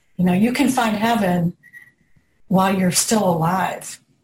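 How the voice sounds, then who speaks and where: A woman at medium pitch, somewhat breathy, with fairly even intonation and a fairly slow pace. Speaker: person in recovery. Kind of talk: group discussion.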